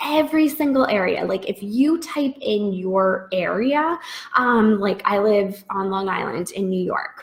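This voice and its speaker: A woman's medium-pitched voice, ordinary pitch variation, and a fairly slow pace. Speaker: freelance business coach. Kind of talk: live webinar Q&A. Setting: live video stream. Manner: casual, many fillers.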